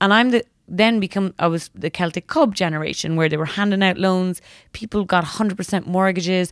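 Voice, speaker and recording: With an Irish accent, a woman speaks at a fairly quick pace and medium pitch, her pitch variation ordinary. The sound is dry and close with no echo, on a very clean recording with a silent background. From Ireland, West Cork. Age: 30s. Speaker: magazine editor. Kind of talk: interview. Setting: office.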